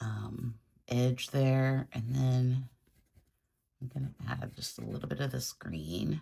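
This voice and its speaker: A woman speaks very slowly in a very deep, low pitch, somewhat breathy, with a dark, mellow tone and ordinary pitch variation. Her speech has long, frequent pauses. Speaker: art tutorial creator. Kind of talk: tutorial. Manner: casual, thinking aloud.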